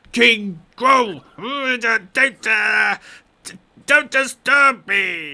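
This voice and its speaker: Shouting in a put-on character voice, a man sounds gruff at an extremely high pitch and a very slow pace. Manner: irritated, warning.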